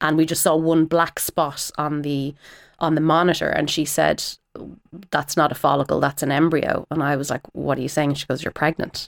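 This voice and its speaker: A woman speaks at a very deep, low pitch with monotone, flat intonation and a moderate pace. The sound is dry and close with no echo, in a very clean recording with a silent background. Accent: Irish. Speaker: actress. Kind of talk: radio interview.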